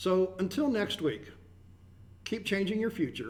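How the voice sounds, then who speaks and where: Lively intonation marks a man with a high pitch at a moderate pace. Noticeable background noise runs underneath. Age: 50s. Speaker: radio host. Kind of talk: broadcast show chat.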